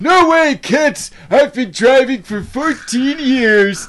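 At a very slow pace, a put-on character voice speaks at a high pitch. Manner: insistent.

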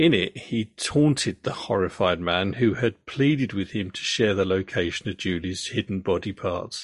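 A man speaks in an ordinary speaking voice, fairly low-pitched with ordinary pitch variation, at a moderate pace and with hardly any pauses. The sound is dry and close, with no echo. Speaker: podcast host and storyteller. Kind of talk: true-crime narration, telling the story to his daughter. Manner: measured, serious and matter-of-fact.

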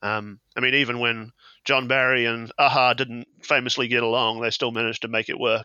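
Speaking in a New Zealand accent, a man talks at a fairly quick pace in a medium pitch with monotone, flat intonation. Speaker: television researcher and fan site contributor. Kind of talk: casual chat.

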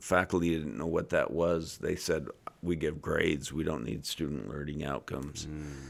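A man talks in a very deep, low pitch with vocal fry. The recording is very clean, with a silent background. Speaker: university president. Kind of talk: casual podcast interview.

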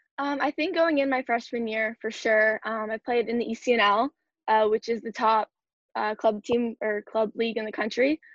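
A woman with an unremarkable speaking voice talks at a moderate pace and fairly high pitch, with ordinary pitch variation. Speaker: college soccer player. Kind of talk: interview.

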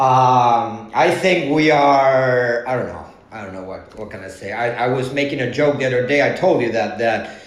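Talking at a moderate pace with hardly any pauses, a man with a Spanish accent and a medium pitch shows ordinary pitch variation and big swings in loudness over noticeable background noise. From Argentina. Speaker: tango dancer. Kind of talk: casual chat. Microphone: earbuds with echo.

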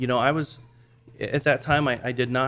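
A normal speaking voice from a man, medium in pitch, at a fairly quick pace. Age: 40s. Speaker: church planter. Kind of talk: casual interview.

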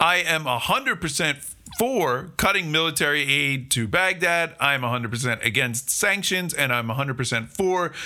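A man's fairly high voice with lively intonation at a moderate pace, music in the background. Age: 40s. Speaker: podcast host. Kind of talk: solo commentary monologue.

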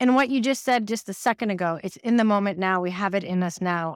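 In an ordinary speaking voice, a woman with an American accent talks at a fairly quick pace in a medium pitch with ordinary pitch variation, in a very clean recording with a silent background and a dry, close sound with no echo. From New York City. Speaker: creative coach and entrepreneur. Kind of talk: casual interview chat.

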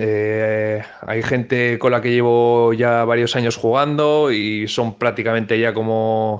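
A man talks very slowly, keeping to a medium pitch. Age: 30s. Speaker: futsal player and coach. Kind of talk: interview. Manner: hesitant, many fillers.

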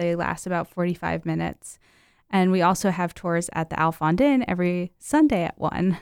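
In a plain, everyday voice, a woman with an American accent speaks at a moderate pace and a fairly low pitch. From New Jersey (Mount Olive, northwest). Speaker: museum staff. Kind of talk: casual radio interview.

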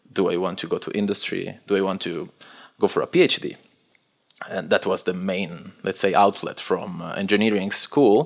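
A man speaks with an Italian accent. His pace is moderate. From northwest Italy. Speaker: cybersecurity consultant. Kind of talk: interview.

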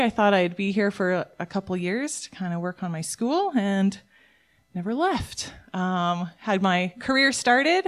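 A woman with a normal speaking voice and a Canadian accent, medium in pitch, moderate in pace and lively in intonation, on a very clean recording with a silent background. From Alberta, Canada. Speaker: worship leader and lay preacher. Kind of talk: sermon. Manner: casual, conversational with fillers.

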